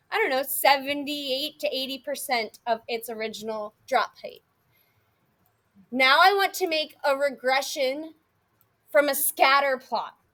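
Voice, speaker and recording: A woman projects a raised, high-pitched voice with a bright, sharp tone and ordinary pitch variation. She speaks at a fairly slow pace, with long, frequent pauses. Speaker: math teacher. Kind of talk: classroom lecture. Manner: animated.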